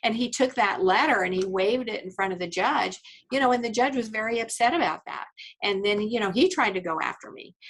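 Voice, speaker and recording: This woman has a plain, everyday voice and an American accent. She speaks at a fairly quick pace, with a fairly high pitch and lively intonation. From Indiana, US Midwest. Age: 60s. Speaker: attorney. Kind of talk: podcast interview. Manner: conversational, many fillers.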